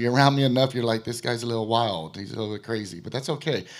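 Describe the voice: A man's voice at a medium pitch with ordinary pitch variation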